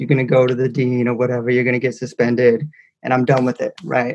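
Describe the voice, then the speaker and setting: A man with a Californian accent talks at a very fast pace in a medium pitch. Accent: Californian American. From Northern California, Ukiah. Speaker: educator and author. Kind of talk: casual interview.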